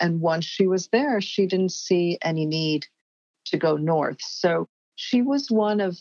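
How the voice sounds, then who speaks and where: A woman with an American accent and an unremarkable speaking voice talks with ordinary pitch variation in a dry, close sound with no echo. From New York. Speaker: cultural anthropologist and writer. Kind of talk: interview.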